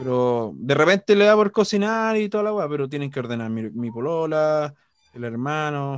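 This speaker moves at a moderate pace with very wide pitch swings. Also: man, fairly high pitch for a man. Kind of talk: casual chat.

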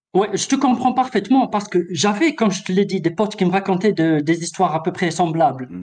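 A man speaks at a high pitch and a fairly quick pace. His intonation is lively. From Algeria. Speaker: caller. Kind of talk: personal story on a call-in show.

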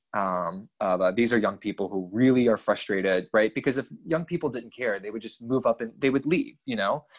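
A man with an American accent at a medium pitch, fairly quick with hardly any pauses, ordinary pitch variation, and a dry, close sound with no echo. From US state of Georgia. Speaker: graduate researcher on the Balkans. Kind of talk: casual interview.

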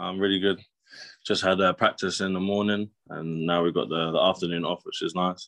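Pitched very deep and low, a man talks at a fairly quick pace. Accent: southern English. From southern England, Brighton. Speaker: professional basketball player. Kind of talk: interview. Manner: halting, many fillers.

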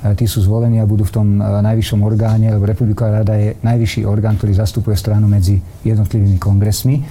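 The voice moves at a very fast pace in a monotone, flat intonation with very even loudness. Noticeable background noise is present. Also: man, fairly low pitch for a man. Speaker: politician, former defence minister. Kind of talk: political interview.

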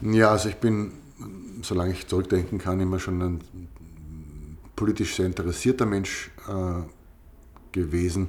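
Somewhat breathy and very deep, low in pitch, a man speaks at a fairly slow pace with ordinary pitch variation and long, frequent pauses. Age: 40s. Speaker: podcast co-host. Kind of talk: casual chat.

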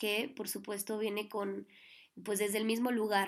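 Fairly high female voice, delivered in a flat monotone. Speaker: podcast host and tarot reader. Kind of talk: reading her own affirmations aloud; casual solo monologue.

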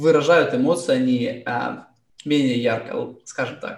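A man with an unremarkable speaking voice and a fairly high pitch talks with ordinary pitch variation. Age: 20s. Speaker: school teacher. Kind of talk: panel discussion.

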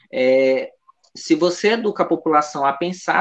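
A man speaks with a fairly high pitch. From Brazil, São Luís, Maranhão. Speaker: nutritionist. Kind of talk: radio interview. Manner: hesitant, many fillers.

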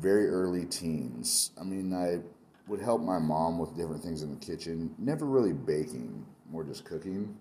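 Audible room echo surrounds a man whose very deep, low voice has a dark, mellow tone. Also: lively intonation, moderate pace. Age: 40s. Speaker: chef and food truck owner. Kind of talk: interview.

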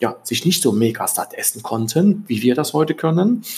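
Vocal fry at a moderate pace. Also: man. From East Germany. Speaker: podcast host, self-improvement coach. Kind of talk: solo podcast monologue. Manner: hesitant, many fillers.

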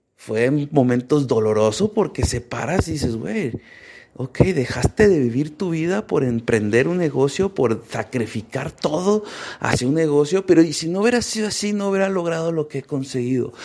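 Over noticeable background noise, a man talks at a moderate pace with a fairly high pitch. His tone is animated and his intonation lively. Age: 30s. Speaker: podcast host and author. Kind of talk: personal monologue. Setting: walking around his apartment.

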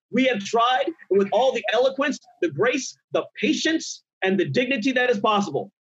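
An extremely high male voice at a moderate pace with ordinary pitch variation. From Nigeria. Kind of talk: heated panel discussion.

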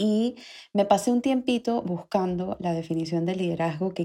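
Her voice sits at a medium pitch with a dark, mellow tone. The woman keeps a moderate pace. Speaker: podcast host. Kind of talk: solo podcast monologue. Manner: animated.

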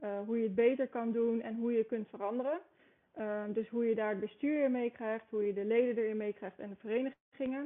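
With a normal speaking voice, a woman talks at a fairly quick pace, her fairly high pitch following a fairly even intonation. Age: 20s. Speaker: sports federation marketer. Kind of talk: podcast interview.

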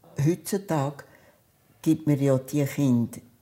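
A woman with a Zug accent speaks very slowly, her pitch very deep and low and her tone dark and mellow. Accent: Swiss German (Zug dialect). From Switzerland, Zug. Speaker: retired children's nurse, oral history interviewee. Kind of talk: oral history storytelling.

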